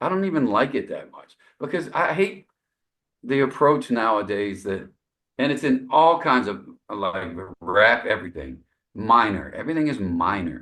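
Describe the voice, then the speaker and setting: Vocal fry runs through a man's medium-pitched voice, which has very wide pitch swings and big swings in loudness. He keeps a moderate pace, broken by long, frequent pauses. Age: 60s. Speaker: jazz saxophonist. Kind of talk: casual interview chat. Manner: halting, many fillers and repetitions.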